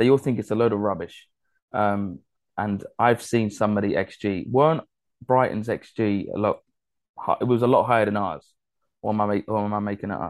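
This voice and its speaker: With an English accent, a man talks at a moderate pace with a fairly low pitch, ordinary pitch variation and long, frequent pauses against a quiet background. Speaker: football podcast host. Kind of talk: casual chat.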